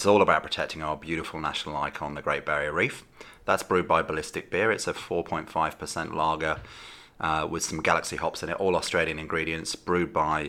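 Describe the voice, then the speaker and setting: A man with a British accent speaks at a very fast pace. His pitch is very deep and low, and his tone is bright and sharp. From UK. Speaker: beer company founder. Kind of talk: interview. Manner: hesitant with many fillers.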